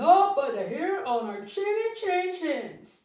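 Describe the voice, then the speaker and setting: A woman's cartoonish character voice, extremely high in pitch, with very wide pitch swings, a fairly slow pace and a slight echo. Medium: puppet.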